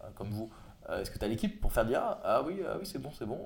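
A man talks at a very fast pace. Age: 30s. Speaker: entrepreneur and podcast host. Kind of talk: casual interview.

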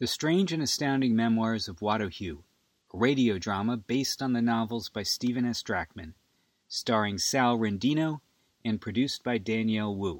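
Moderately paced speech with lively intonation in an unremarkable speaking voice. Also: man, medium pitch for a man. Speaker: announcer. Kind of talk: promo and credits announcement reading.

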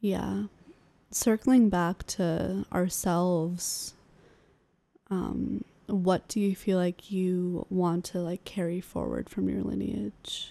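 A woman talks at a very slow pace with a Californian accent. The sound is dry and close, with no echo. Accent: American (Californian). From California (Sacramento). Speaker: podcast co-host. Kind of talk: casual conversation.

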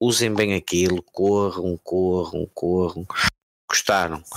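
A man speaks very slowly in a very deep, low voice with fairly even intonation. The sound is dry and close, with no echo. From Portugal, Porto. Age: 30s. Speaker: sim racing team manager. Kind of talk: casual chat. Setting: live video stream.

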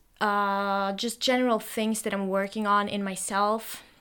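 A woman speaks with a Norwegian accent at a medium pitch in a bright, sharp tone. Her intonation is monotone and flat, on a very clean recording with a silent background. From Norway. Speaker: solo podcaster. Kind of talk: stream-of-consciousness monologue. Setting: home recording, solo microphone. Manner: halting, many fillers.

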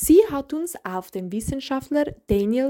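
A woman speaks very slowly in a dark, mellow tone, her pitch swinging very widely. The recording is very clean, with a silent background. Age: young. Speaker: student podcast host. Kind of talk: scripted narration.

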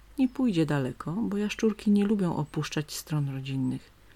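A woman speaks with a fairly low pitch in a gentle, soothing tone that is somewhat breathy. The recording is very clean, and the background is silent. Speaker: nature story narrator. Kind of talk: bedtime story reading aloud with nature sounds. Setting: home, recorded with stream and birds outside window. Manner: slow, soft, gentle, soothing storyteller.

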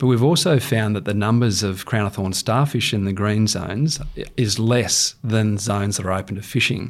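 Speaking with an Australian accent, a man uses a fairly low pitch with ordinary pitch variation. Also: moderate pace. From Queensland, Australia (Rockhampton). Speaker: wildlife manager, former crocodile researcher. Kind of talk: interview.

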